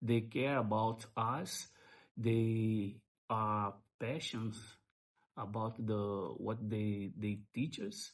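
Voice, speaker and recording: Pausing long and often, a man with a Brazilian Portuguese accent speaks at a very slow pace and medium pitch with fairly even intonation. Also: quiet background. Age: 60s. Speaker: language school student. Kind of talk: interview. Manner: halting.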